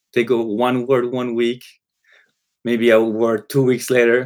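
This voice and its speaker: Here a man talks with a Spanish accent. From Colombia. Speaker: psychology professor. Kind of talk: panel discussion.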